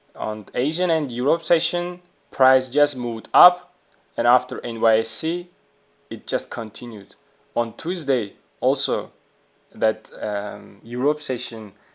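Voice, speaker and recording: A man with a non-native accent speaks at a fairly slow pace, with long, frequent pauses. His pitch is medium, with ordinary variation. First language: not English. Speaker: trading video creator. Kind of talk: tutorial. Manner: halting, many fillers.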